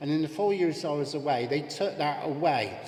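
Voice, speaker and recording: Pitch varies in an ordinary way, with audible room echo and noticeable background noise. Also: man. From England, Bristol. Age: 60s. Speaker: political candidate. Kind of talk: hustings speech.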